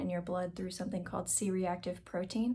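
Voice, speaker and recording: A soft-spoken woman talks at a fairly quick pace. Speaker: vlogger with Crohn's disease. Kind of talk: casual vlog talk to camera.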